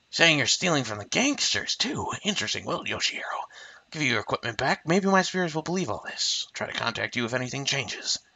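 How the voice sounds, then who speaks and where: A man puts on a character voice at a fairly high pitch. He speaks at a very fast pace. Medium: game stream. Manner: matter-of-fact, skeptical.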